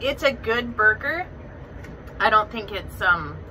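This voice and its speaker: A woman talks at a moderate speed while noticeable noise runs in the background. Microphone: phone near.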